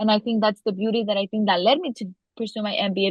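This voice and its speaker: A woman speaks at a very fast pace and a medium pitch. Her voice is somewhat breathy. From US, daughter of Mexican immigrants. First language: Spanish. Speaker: legislative director and podcaster. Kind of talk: interview. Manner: many fillers and repetitions.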